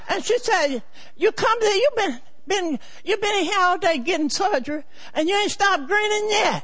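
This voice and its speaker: A woman's extremely high voice with lively intonation and very even loudness at a moderate pace, over noticeable background noise. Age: 80s+. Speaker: church member. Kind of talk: testimony. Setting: church.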